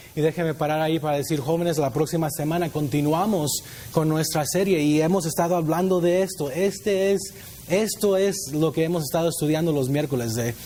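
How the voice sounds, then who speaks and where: A man at a fairly quick pace, with very even loudness, ordinary pitch variation and noticeable background noise. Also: fairly high pitch for a man. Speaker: youth pastor. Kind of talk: sermon.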